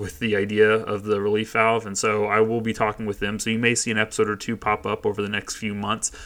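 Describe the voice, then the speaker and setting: A man at a fairly low pitch and a very fast pace. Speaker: podcast host and lawyer. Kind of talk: casual solo podcast announcement. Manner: rambling, unscripted.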